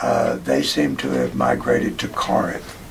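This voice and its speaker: Someone speaks with an American accent through audible room echo and noticeable background noise. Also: man. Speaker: oral history interviewee. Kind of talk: oral history interview. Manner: halting.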